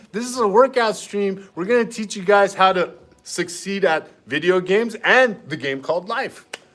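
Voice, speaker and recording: Over music in the background, a man with a high-pitched voice talks at a fairly slow pace. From Armenian family household. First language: Armenian. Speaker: fitness streamer. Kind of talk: live workout stream chat. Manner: animated.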